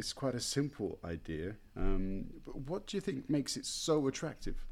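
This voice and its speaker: A man with a British accent speaks at a moderate pace with a fairly high pitch. His pitch swings very widely, and vocal fry comes through. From Britain. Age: 40s. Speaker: podcast host and language teacher. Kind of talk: casual interview. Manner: halting, many fillers.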